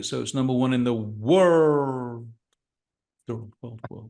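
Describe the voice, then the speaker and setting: Putting on a resonant character voice, a man with an American accent talks at a fairly slow pace, using a medium pitch and ordinary pitch variation. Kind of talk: announcer-like. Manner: weighty, dramatic, gravitas.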